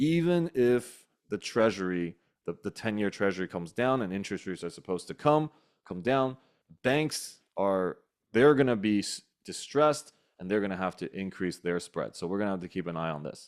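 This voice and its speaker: Here is a man with an unremarkable speaking voice, fairly low in pitch. He moves at a fairly quick pace with lively intonation. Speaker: real estate investing community host. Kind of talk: online community call presentation.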